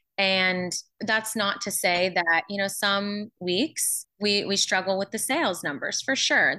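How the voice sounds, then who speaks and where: Speaking at a fairly slow pace, a woman with a medium pitch and a bright, sharp tone shows ordinary pitch variation against a quiet background. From Pittsburgh area, Pennsylvania. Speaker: small business owner. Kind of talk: interview.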